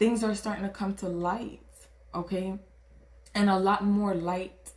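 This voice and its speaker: In a Caribbean accent, a woman with a medium pitch talks at a moderate pace in an animated tone. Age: 20s. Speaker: tarot reader. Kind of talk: tarot reading. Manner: animated, casual.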